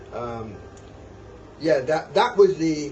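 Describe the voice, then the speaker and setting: Over noticeable background noise and audible room echo, a man with a fairly high pitch speaks at a fairly slow pace with lively intonation. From Barbados. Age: 80s+. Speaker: retired police officer. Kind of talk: interview testimony. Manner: halting.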